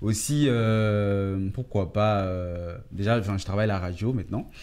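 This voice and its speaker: At a very slow pace, a man speaks with a fairly low pitch. His pitch varies in an ordinary way. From Ivory Coast. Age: young. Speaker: fashion model and radio host; radio host. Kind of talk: TV interview. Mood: personal, reflective, calm. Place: studio.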